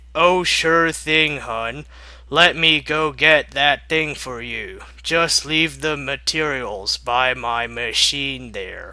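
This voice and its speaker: Putting on a raspy character voice with a fairly high pitch, a man speaks at a very slow pace. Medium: read story. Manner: falsely sweet.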